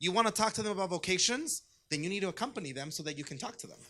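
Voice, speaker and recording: Talking at a very fast pace, a man uses a high, bright, sharp voice that is raised and projected, with lively intonation. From US, Southern California (Orange County), Mexican-American family. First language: Spanish. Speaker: diocesan youth ministry director. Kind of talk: conference presentation. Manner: conversational, engaging.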